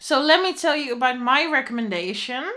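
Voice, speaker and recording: A woman with a Dutch accent, high pitch and lively intonation. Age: 20s. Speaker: book reviewer. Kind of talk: book recommendation.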